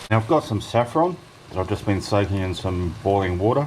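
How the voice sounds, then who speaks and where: Noticeable background noise sits under a man's fairly low-pitched voice. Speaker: home cooking channel host. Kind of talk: cooking tutorial. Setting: home kitchen. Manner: loud.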